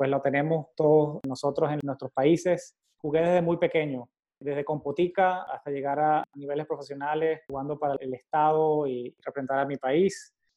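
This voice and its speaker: With a plain, everyday voice, a man speaks at a moderate pace, fairly high in pitch and with fairly even intonation. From Venezuela, Valencia. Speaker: cardiology fellow. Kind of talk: casual interview chat.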